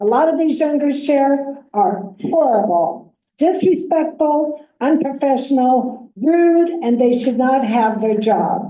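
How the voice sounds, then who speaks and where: A woman talks at a fairly slow pace in a high pitch, her tone dark and mellow and her intonation lively. Her loudness stays very even, and room echo is audible. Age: 70s. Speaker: nurse and committee member. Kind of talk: public comment at committee meeting. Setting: committee meeting room.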